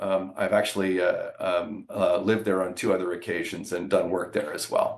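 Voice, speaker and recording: At a moderate pace, a man talks with a Canadian accent. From Canada, Ottawa. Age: 60s. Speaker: business executive. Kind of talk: interview.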